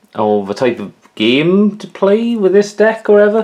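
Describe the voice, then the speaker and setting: The speaker talks at a moderate pace with a Welsh accent. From Wales. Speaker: YouTuber showing his collection. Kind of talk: casual show-and-tell vlog. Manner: casual, hesitant with many fillers.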